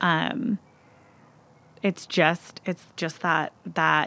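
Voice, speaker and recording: Her tone is bright and sharp, with vocal fry. The woman's pitch sits fairly low. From US Pacific Northwest, Seattle. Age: 30s. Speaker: hairstylist and nonprofit founder. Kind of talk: casual interview chat. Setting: podcast recording.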